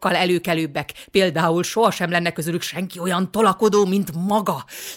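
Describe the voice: The clip is plain reading aloud, and its intonation stays fairly even.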